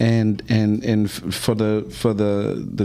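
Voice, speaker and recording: An ordinary speaking voice, its pitch varying in an ordinary way. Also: man. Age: 50s. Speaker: podcast host. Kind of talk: casual chat.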